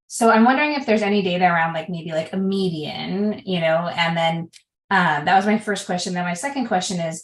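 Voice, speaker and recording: A woman's somewhat breathy voice at medium pitch, very fast in pace, with ordinary pitch variation and audible room echo. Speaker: parent of a patient, audience member; audience member. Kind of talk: audience question. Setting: video call. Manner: halting. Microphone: video call.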